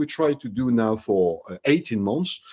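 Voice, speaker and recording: A man speaks with a French accent at a moderate pace. His intonation is lively. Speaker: HR executive, webinar panelist. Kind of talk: panel discussion. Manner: halting, many fillers.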